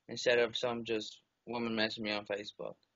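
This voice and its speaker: A man mumbles at medium pitch. His intonation is monotone and flat. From Alabama. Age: 20s. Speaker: book character inspiration. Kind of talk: interview. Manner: mumbling; soft-spoken.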